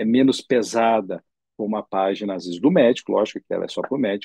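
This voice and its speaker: A man speaks at a medium pitch with a dark, mellow tone and fairly even intonation. The sound is dry and close, with no echo. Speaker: ophthalmologist. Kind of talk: lecture. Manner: halting, with many fillers.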